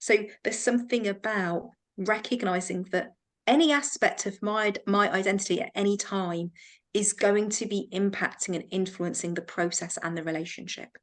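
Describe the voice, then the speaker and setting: Over a quiet background, a woman with an English accent talks at a moderate pace, medium pitch and ordinary pitch variation. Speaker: counselling supervision trainer. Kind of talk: online training session discussion.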